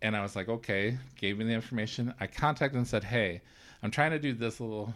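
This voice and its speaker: Speaking fairly quickly at medium pitch, a man with an American accent comes through on a very clean recording with a silent background. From rural central Illinois. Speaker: indie filmmaker. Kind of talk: casual interview.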